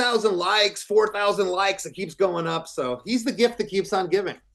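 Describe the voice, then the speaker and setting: Speaking with an American accent, a man uses a high voice at a fairly quick pace. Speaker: rock band singer and guitarist. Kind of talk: interview. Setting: video call.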